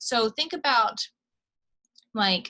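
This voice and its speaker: A bright, sharp tone marks this female speaker's voice. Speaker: college instructor. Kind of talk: lecture. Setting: screen-share video recording. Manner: fast.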